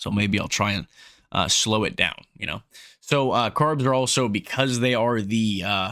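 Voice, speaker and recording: A man's medium-pitched voice with ordinary pitch variation. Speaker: fitness content creator. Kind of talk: casual explainer monologue. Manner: fast; halting, many fillers and restarts.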